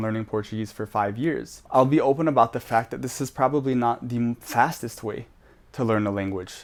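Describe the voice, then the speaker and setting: An unremarkable speaking voice with an American accent and fairly even intonation comes through on a very clean recording with a silent background. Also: man. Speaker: language learning vlogger. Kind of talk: casual vlog monologue. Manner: casual, filler-heavy.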